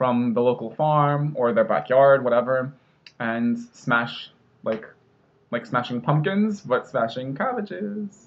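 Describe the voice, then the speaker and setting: With an American accent, a man speaks in a normal speaking voice at medium pitch, with ordinary pitch variation and a fairly slow pace. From Northeastern US (Rhode Island, New Jersey). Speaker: linguist. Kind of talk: casual talk to camera.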